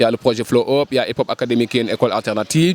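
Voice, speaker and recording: A man with a medium pitch speaks at a very fast pace. The sound is dry and close with no echo, but background noise is noticeable. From Senegal, Dakar (Ouakam). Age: 30s. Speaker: cultural project manager. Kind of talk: interview.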